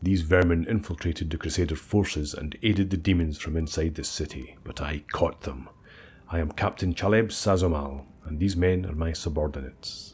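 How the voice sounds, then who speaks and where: A man speaks at a moderate pace in a booming, put-on character voice with a very deep, low pitch. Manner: ruthless, spoiling for a fight.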